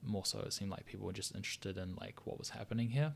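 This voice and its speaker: A man's voice at a fairly low pitch. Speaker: visual artist and software tutorial creator. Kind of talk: tutorial. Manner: fast; hesitant with many fillers.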